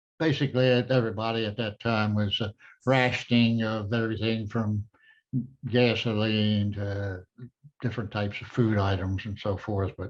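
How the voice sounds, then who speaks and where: A man speaks at a moderate pace in a fairly low pitch, his intonation monotone and flat. The background is quiet. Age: 90s. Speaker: Korean War navy veteran. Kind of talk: interview. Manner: halting.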